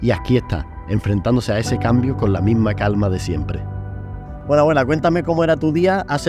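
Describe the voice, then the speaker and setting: With music in the background, a man talks at a very fast pace, his pitch swinging very widely. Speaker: YouTuber, grandson. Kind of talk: casual talk to camera.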